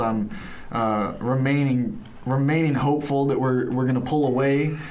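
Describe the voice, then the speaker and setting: A man speaks at a medium pitch and a moderate pace, with noticeable background noise. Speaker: college sports podcast host. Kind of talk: casual chat. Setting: studio.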